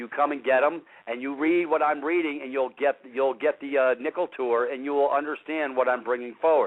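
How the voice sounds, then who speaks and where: A man's fairly high-pitched voice at a fairly quick pace, fairly even intonation, hardly any pauses. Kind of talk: radio talk show discussion. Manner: fast.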